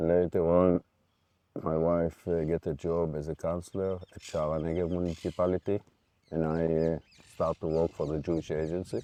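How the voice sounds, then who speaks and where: In a dry, close sound with no echo, a man speaks at a moderate pace in a very deep, low pitch, with a dark, mellow tone and monotone, flat intonation. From Israel (Jerusalem). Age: 60s. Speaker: bereaved father. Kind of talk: interview. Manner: halting.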